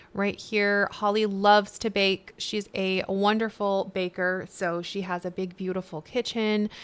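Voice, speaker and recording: Using a plain, everyday voice, a woman speaks fairly slowly at medium pitch with hardly any pauses. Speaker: video game streamer. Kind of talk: gameplay let's play narration. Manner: upbeat, casual.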